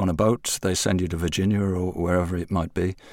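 Very deep and low in pitch, a man speaks with a London accent at a fairly quick pace. The recording is very clean, with a silent background. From England. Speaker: music journalist and slang historian. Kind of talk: interview.

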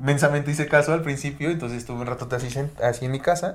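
A man with a Mexican accent talks at a very fast pace. His pitch varies in an ordinary way. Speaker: podcast co-host. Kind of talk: casual chat.

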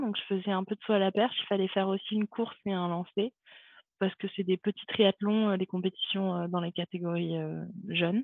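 The delivery is monotone and flat. It runs at a fairly quick pace. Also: woman. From France, Montpellier. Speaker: retired javelin thrower. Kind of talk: interview conversation. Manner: hesitant, many fillers.

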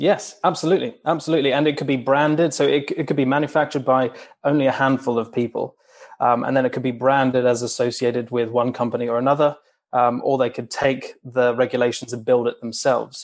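With fairly even intonation, a man talks in a plain, everyday voice. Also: medium pitch for a man. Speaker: racing engineering journalist. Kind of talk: technical interview.

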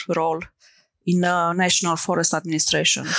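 On a very clean recording with a silent background, a woman speaks at a very fast pace in a fairly low pitch with monotone, flat intonation. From Romania. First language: Romanian. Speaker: tech founder. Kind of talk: interview. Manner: halting, many fillers.

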